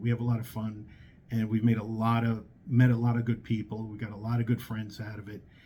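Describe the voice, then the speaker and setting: Speaking in a New York accent, a man has a dark, mellow, somewhat breathy tone at medium pitch with monotone, flat intonation. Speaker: hard money lender. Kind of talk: casual talk to camera. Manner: hesitant, many fillers.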